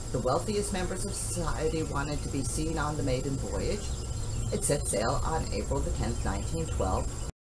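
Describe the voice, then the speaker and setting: A woman talks at a moderate pace. Noticeable background noise runs beneath her. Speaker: channel host. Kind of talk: historical documentary narration. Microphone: camera far.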